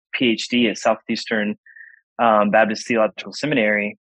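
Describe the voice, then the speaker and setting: Here a man with a medium pitch speaks at a moderate pace in an unremarkable speaking voice. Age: 30s. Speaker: Bible college professor and pastor. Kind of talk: casual interview conversation.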